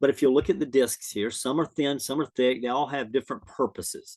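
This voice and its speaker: Vocal fry runs through the man's voice. The sound is dry and close, without any echo. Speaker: trade school teacher. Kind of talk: recorded lecture for students. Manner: hesitant, many fillers.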